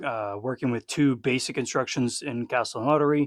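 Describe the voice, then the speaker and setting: A man speaks with a Texan accent at a medium pitch, his intonation fairly even. The background is quiet. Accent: Texan American. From Texas. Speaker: former legionnaire, podcast host. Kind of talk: casual chat.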